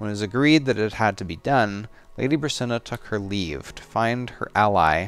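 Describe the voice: This plain read-aloud has ordinary movement in its pitch.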